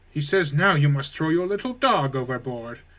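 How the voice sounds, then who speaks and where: This man uses a put-on character voice. His intonation is lively. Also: fairly high pitch for a man, moderate pace. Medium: game stream. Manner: sly, deceitful.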